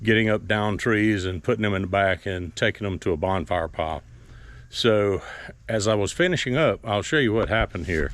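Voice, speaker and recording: This is a man with an unremarkable speaking voice, fairly low in pitch with ordinary pitch variation. The recording is very clean, with a silent background. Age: 60s. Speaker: farmer and hobby mechanic. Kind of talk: tutorial. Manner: casual.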